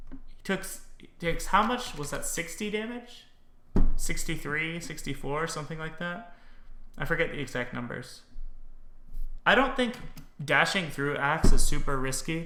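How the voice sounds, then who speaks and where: With a high pitch and a bright, sharp tone, a man speaks at a moderate pace with lively intonation and big swings in loudness. He takes long, frequent pauses, and room echo is audible. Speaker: game streamer and commentator. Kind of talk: game analysis commentary. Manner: casual, with frequent fillers.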